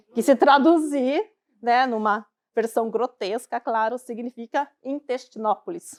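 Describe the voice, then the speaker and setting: A woman with a Curitiba accent, high-pitched with ordinary pitch variation, at a fairly slow pace in a dry, close sound with no echo. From southern Brazil, Curitiba. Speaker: financial advisor. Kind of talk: talk to a live audience. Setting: stage with audience.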